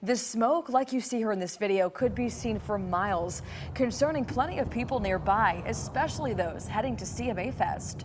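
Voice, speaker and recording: Over noticeable background noise, a woman with a fairly high pitch and lively intonation speaks at a moderate pace with hardly any pauses. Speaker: news anchor. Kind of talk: television news anchor delivery.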